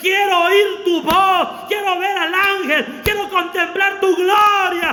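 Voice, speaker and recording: A man speaks in a raised, projected voice at a very slow pace. Noticeable background noise and audible room echo surround him. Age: 40s. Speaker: pastor. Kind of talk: sermon. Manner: animated.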